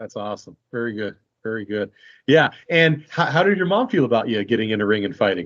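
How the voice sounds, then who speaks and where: A man's unremarkable speaking voice at medium pitch, with a fairly quick pace and lively intonation. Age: 40s. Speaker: fight promotion interviewer. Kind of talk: interview.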